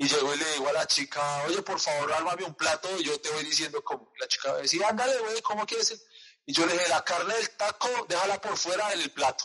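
A man's fairly quick, high-pitched speech with lively intonation and a strong Colombian accent. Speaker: podcast host. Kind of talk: casual chat.

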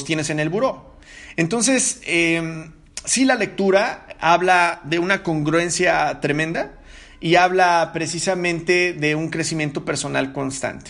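A man with a high pitch at a fairly slow pace. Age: 40s. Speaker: podcast host. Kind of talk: solo podcast monologue. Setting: living room at home. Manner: halting, many fillers.

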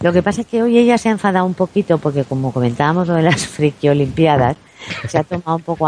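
Her pitch swings very widely as she talks. There is no echo, and the sound is dry and close. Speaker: celebrity journalist and TV pundit. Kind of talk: interview. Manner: calm, not shrill.

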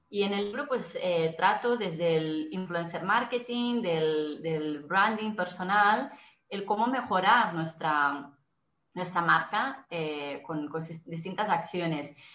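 Delivered at a very slow pace with lively intonation, the voice has audible room echo. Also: woman, fairly low pitch for a woman. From Brazil. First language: Portuguese (speaking Spanish). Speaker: marketing and PR professional, author. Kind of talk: interview. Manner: halting, with frequent repetitions.

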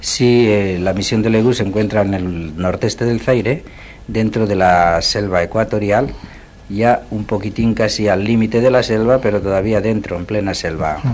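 Against noticeable background noise, a man speaks at a fairly low pitch. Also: fairly even intonation, moderate pace. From Navarre, Spain (Puente la Reina). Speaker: missionary. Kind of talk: radio interview. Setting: radio studio.

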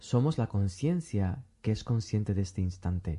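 With lively intonation and a dark, mellow tone, a man speaks somewhat breathily at a moderate pace. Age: 40s. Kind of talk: interview conversation.

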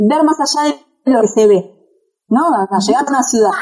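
Ordinary pitch variation at a moderate pace. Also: woman. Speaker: travel blogger and journalist. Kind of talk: interview. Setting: remote call from home.

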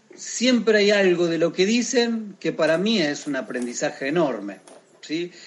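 A man with an unremarkable speaking voice talks at a moderate pace. His intonation is lively. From Argentina. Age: 40s. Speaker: sports coach. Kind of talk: interview.

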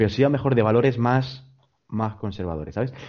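A man talks at a very fast pace. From Almería, Spain. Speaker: podcast host. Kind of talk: casual chat.

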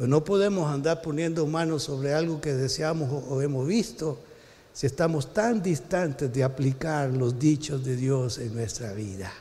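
A man with a Salvadoran accent speaks at a fairly high pitch, his voice somewhat breathy with a dark, mellow tone. His pitch varies in an ordinary way, and the room echo is audible. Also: fairly slow pace. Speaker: pastor. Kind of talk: sermon.

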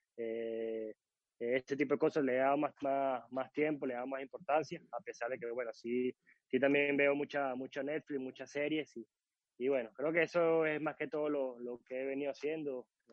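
The speaker has an unremarkable speaking voice. The pace is moderate and the intonation fairly even. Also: man, fairly high pitch for a man. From Venezuela, Caracas. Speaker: footballer, goalkeeper. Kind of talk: interview.

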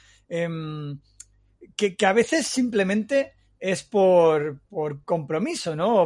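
With ordinary pitch variation, a man talks in a high register over a quiet background. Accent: Castilian. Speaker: podcast host. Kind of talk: casual chat.

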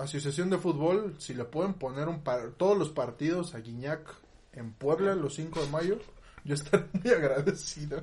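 A man's fairly high voice with a Mexican accent, ordinary pitch variation and a moderate pace. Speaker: podcast co-host. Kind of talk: casual chat.

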